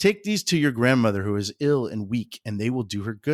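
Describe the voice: Just plain reading aloud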